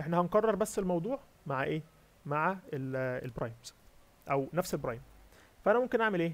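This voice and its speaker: A man with a high voice talks at a fairly quick clip, his pitch swinging very widely, with long pauses coming often. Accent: Egyptian. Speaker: competitive programming instructor. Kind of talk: lecture.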